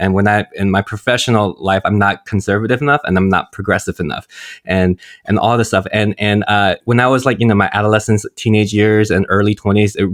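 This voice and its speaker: A man with a fairly low pitch and an ordinary speaking voice, at a fairly quick pace with fairly even intonation, in a very clean recording with a silent background and a dry, close sound with no echo. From US, Korean-American family. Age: 40s. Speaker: priest. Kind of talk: casual chat.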